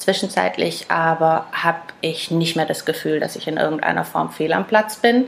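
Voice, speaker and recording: Over noticeable background noise, a woman speaks at a fairly low pitch and moderate pace with ordinary pitch variation. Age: 30s. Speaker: classic car dealer. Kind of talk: casual interview chat.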